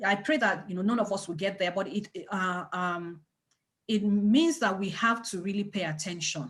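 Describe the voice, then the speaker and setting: A woman speaks in a strong non-native accent at a moderate pace, her medium pitch showing ordinary variation. The background is quiet. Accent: thick foreign. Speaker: parenting organization leader. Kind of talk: webinar talk. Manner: animated, repetitive emphasis.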